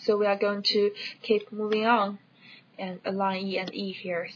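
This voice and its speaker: A woman with a non-native accent speaks at a fairly slow pace and medium pitch. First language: not English. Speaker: educational video creator. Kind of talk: tutorial. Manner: hesitant, with fillers.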